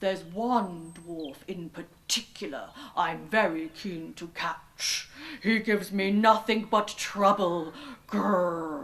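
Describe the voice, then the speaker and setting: Putting on a growling character voice, a woman speaks fairly slowly at a medium pitch. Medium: read story.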